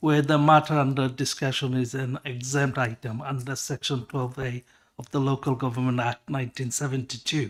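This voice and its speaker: With a non-native accent, a man talks at a moderate pace, his pitch fairly high and his intonation fairly even. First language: not English. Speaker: councillor. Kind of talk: council meeting debate. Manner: halting.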